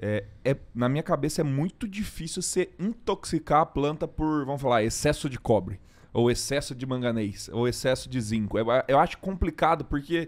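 This man has an unremarkable speaking voice with a fairly high pitch and lively intonation. He speaks at a moderate pace on a very clean recording with a silent background. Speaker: agronomist podcast host. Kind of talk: casual interview-style podcast chat.

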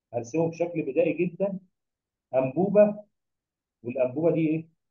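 Against a quiet background, a man with an Egyptian accent talks at a moderate pace. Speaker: biology tutor. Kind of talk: lecture. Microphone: webcam.

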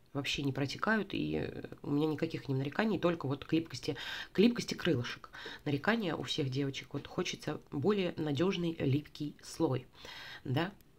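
A woman with a very deep, low pitch, lively intonation, and a moderate pace. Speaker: beauty vlogger and sales consultant. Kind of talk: product review. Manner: chatty, informal.

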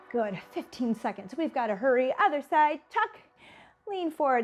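The speaker is a woman. Light noise sits in the background. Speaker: fitness instructor. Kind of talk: workout instruction. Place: studio.

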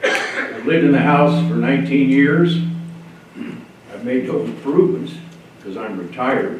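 A man with a fairly high pitch speaks at a moderate pace with lively intonation, big swings in loudness, and long, frequent pauses, amid audible room echo and noticeable background noise. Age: 80s+. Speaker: public commenter, retired Navy veteran. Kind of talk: public comment at county meeting. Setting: county commission meeting room. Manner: formal.

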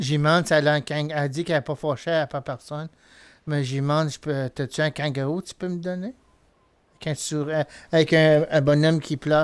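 With a Quebec accent and a fairly high voice, a man talks at a moderate pace in a very clean recording with a silent background. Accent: Québécois French. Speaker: gaming streamer. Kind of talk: live gameplay commentary. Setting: live stream. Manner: animated.

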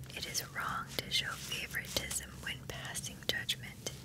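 Whispering comes from a woman. She keeps to a fairly slow pace. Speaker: ASMR creator. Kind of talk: relaxing Bible reading. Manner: soft-spoken, slow. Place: home room. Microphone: studio mic.

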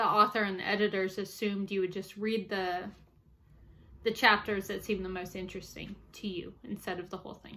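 With an American accent, a woman speaks at a moderate pace in a bright, sharp tone, her loudness swinging widely. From US South, New Orleans; Louisiana. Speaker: amateur ghost hunter and book reviewer; book reviewer. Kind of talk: casual book review monologue. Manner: hesitant, with frequent fillers. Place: home room. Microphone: webcam.

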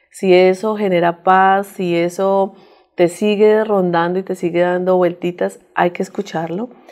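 A woman with a fairly low pitch and a dark, mellow tone speaks at a fairly slow pace in monotone, flat intonation. The background is quiet. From Colombia, Bogotá. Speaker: women's group leader and immigrant; interview guest. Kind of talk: interview. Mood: warm, inspirational. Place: studio. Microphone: lapel.

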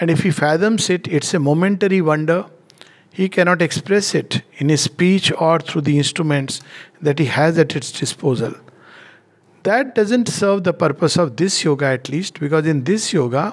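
Over a quiet background, the speech keeps a moderate pace and very even loudness, with ordinary pitch variation. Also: man, high pitch for a man. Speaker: spiritual teacher. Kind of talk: lecture. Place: home room. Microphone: headset.

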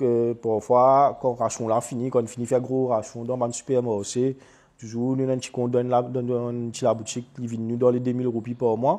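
A man with a Mauritian accent speaks at a medium pitch in a dark, mellow tone. His intonation is monotone and flat, and his pace fairly quick. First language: Mauritian Creole (speaking French). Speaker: interviewee, working parent. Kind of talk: testimony.

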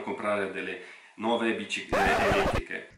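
A man talks very fast at a medium pitch. Audible room echo and noticeable background noise fill the recording. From Russia. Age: 30s. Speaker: YouTuber and e-bike entrepreneur. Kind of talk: radio interview; vlog.

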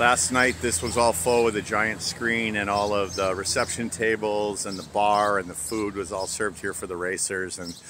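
A man speaks at a moderate pace with hardly any pauses, his pitch fairly low and his intonation fairly even. The sound is dry with no echo, though background noise is noticeable. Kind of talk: casual vlog chat. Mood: relaxed, pleased. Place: street. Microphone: phone near.

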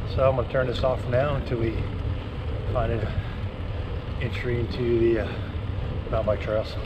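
A man at a moderate pace, with noticeable background noise. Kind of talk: casual vlog chat. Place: bicycle. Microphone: phone near.

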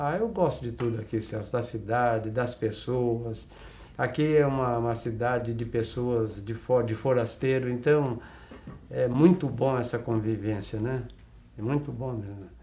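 A man's somewhat breathy, dark and mellow voice at a fairly slow pace over light background noise. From Brazil, São Paulo state (Araçatuba area); São Paulo state, Brazil. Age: 70s. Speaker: retired bank and health-cooperative administrator; interview guest. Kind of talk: interview. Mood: warm, reflective. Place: studio.

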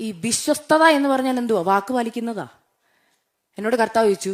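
Here is a woman with a fairly high pitch and ordinary pitch variation. She has an unremarkable speaking voice. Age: 30s. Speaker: lay preacher giving testimony. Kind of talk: sermon with personal testimony. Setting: church.

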